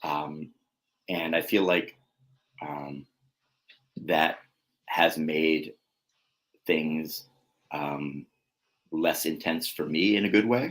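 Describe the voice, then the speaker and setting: Very deep and low, this man's voice moves at a very slow pace with fairly even intonation. Long, frequent pauses break up his speech. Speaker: single father sharing his story. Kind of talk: interview. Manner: halting, many fillers and restarts.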